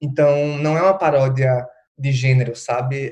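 With fairly even intonation, a man talks in a voice that is somewhat breathy. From Recife, Brazil. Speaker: drag artist and postgraduate researcher. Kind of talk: casual interview.

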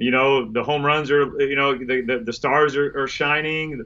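In a Louisiana accent, a man talks with a fairly high pitch. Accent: Louisiana Southern US. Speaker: former pro baseball pitcher. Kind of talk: casual interview.

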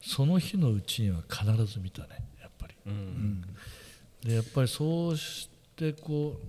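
A man's somewhat breathy, medium-pitched voice with very wide pitch swings and long, frequent pauses. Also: moderate pace. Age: 60s. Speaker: photographer and podcast co-host. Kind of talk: casual chat.

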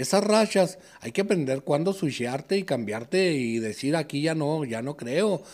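An unremarkable speaking voice from a man, fairly high in pitch, at a fairly slow pace with lively intonation. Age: 60s. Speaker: sports bettor. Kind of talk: casual chat.

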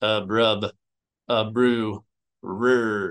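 In a put-on character voice, a man speaks at a medium pitch with monotone, flat intonation. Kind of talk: creature sounds.

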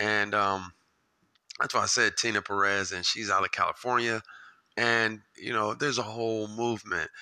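At a moderate pace, a man speaks in a medium pitch with a bright, sharp tone. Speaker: podcast host. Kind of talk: casual chat. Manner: halting, many fillers; animated.

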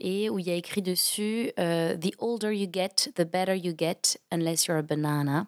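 A woman's unremarkable speaking voice at medium pitch, with ordinary pitch variation, a fairly slow pace and a dry, close sound with no echo. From France, Toulouse. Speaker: comedian and corporate trainer. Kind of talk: podcast interview.

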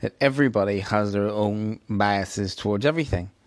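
Here a man speaks in a Northern Irish accent. His voice sits fairly low, with ordinary pitch variation. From Northern Ireland. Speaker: YouTuber commentator. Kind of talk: casual video commentary.

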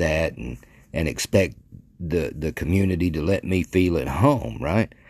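A man speaks with vocal fry and an American accent. His pitch varies in an ordinary way, and his pace is fairly slow. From Arkansas (Mandeville, near Texarkana). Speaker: podcaster. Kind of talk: casual monologue. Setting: bedroom. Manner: halting, many fillers and restarts.

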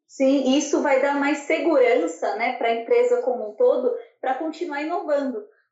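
A woman with a high voice talks at a moderate pace, her intonation lively, with audible room echo. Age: 20s. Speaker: manufacturing engineer. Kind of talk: interview.

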